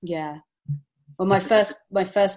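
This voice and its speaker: A woman with an English accent and monotone, flat intonation. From England. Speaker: children's book author and illustrator. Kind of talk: interview.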